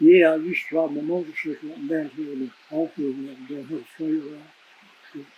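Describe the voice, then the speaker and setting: Speaking at a very fast pace, a man with a Southern Appalachian accent keeps a fairly high pitch and a monotone, flat intonation. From East Tennessee, Roan Mountain area. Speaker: old time musician, former constable. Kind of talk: interview answer.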